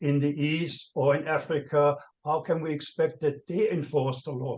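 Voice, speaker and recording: A man talks with a non-native accent at a fairly slow pace. His pitch is fairly high, and his intonation is fairly even. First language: not English. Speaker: panel speaker on money laundering. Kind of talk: seminar panel talk. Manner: halting, many fillers and restarts.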